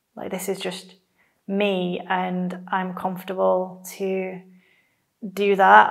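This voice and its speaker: A woman's voice with audible room echo. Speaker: theology student. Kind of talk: testimony.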